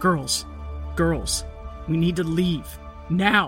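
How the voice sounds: A man puts on a character voice at a fairly high pitch with a bright, sharp tone. He speaks at a very slow pace while faint music plays in the background. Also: ordinary pitch variation.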